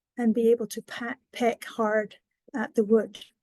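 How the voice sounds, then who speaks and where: A woman with a Scottish accent speaks at a fairly slow pace in a high pitch with a dark, mellow tone, the sound dry and close with no echo. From Scotland. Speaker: wildlife education coordinator. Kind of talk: educational presentation.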